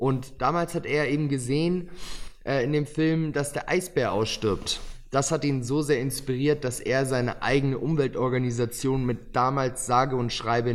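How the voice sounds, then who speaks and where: With a plain, everyday voice, a man speaks at medium pitch and a moderate pace, his intonation fairly even. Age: young. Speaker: young author. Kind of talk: podcast interview.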